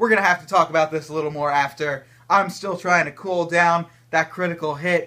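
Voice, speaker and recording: A man speaks at a fairly quick pace with a bright, sharp tone and high pitch, his loudness swinging widely against a quiet background. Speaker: esports commentator auditioning. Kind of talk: esports commentary. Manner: excited, enthusiastic. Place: home room.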